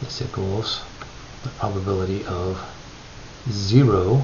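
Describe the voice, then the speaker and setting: The speech moves at a fairly slow pace with audible room echo and noticeable background noise. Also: man. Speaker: statistics instructor. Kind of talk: lecture.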